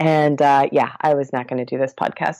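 A woman with a Midwestern accent speaks in a very deep, low voice with a dark, mellow tone. Her intonation is monotone and flat. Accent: General American (Midwest). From US Midwest, Columbus, Ohio. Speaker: meditation podcast host and hypnotherapist. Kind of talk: casual interview chat.

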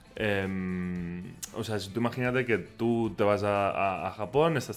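A man with a Catalan accent speaks at a fairly low pitch with ordinary pitch variation. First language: Catalan (speaking Spanish). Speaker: podcaster about Japan. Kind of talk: casual chat. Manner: halting.

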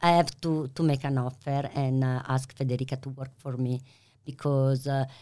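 On a very clean recording with a silent background, a voice with an Italian accent speaks in a monotone, flat intonation. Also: woman. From Italy. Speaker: pasta maker and business founder. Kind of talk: interview. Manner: halting.

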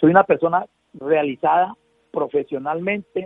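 A man speaking at a fairly slow pace with ordinary pitch variation. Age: 60s. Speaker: patient advocate and journalist. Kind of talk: radio interview. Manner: halting.

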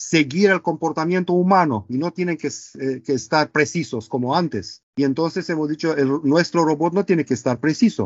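A man with a fairly high pitch and a Romanian accent, ordinary pitch variation, and a moderate pace. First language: Romanian (speaking Spanish). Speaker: robotics professor and company co-founder. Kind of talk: casual interview. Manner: halting, many fillers.

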